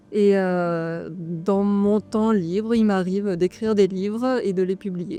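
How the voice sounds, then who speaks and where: A woman speaks very slowly at a medium pitch, with hardly any pauses. Her tone is dark and mellow, her intonation fairly even. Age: 30s. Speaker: author and herbalist farmer. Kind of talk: interview. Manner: hesitant, many fillers.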